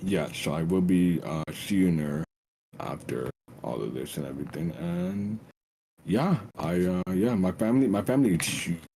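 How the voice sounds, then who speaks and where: A man with a very deep, low pitch and lively intonation at a moderate pace. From Trinidad and Tobago. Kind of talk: casual chat.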